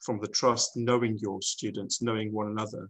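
A man with an English accent at medium pitch, moderate pace and monotone, flat intonation, against a quiet background. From England. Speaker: international school director. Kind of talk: panel discussion. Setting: video call. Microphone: video call.

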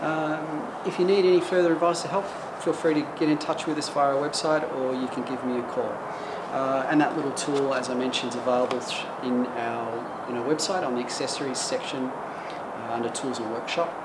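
A man talks at a fairly quick pace with fairly even intonation over loud background noise. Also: medium pitch for a man.

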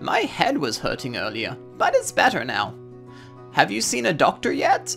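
Over faint music, a man does a put-on character voice at a moderate pace, fairly high-pitched and fairly bright, with vocal fry and very wide pitch swings.

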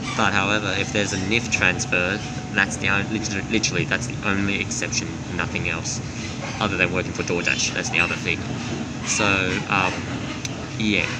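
A man speaks at a moderate pace. Loud background noise sits behind him. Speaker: train vlogger. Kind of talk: casual vlog chat. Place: train. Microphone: phone near.

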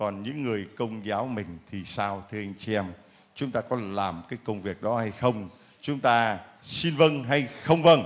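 A man with a fairly low voice talks at a fairly slow pace, with ordinary pitch variation. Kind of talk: church testimony session. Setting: church with congregation. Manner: animated. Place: church. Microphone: handheld.

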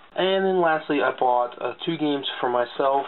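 A man talks at a moderate pace with a fairly high pitch and ordinary pitch variation. There is light background noise. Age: 20s. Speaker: gaming YouTuber. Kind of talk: casual video haul showcase. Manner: casual with frequent fillers. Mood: relaxed, mildly pleased. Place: home room. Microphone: webcam.

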